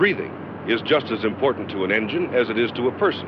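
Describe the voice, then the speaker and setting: A man speaks in a confident tone. Noticeable background noise can be heard. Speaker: presenter. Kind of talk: 1960s promotional film narration, scripted sales pitch. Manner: brisk, punchy, emphatic ad-man salesmanship; formal, confident, authoritative announcer delivery. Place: studio. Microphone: handheld.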